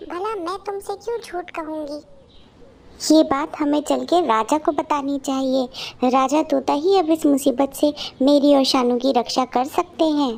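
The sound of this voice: A woman's cartoonish character voice, high-pitched, at a moderate pace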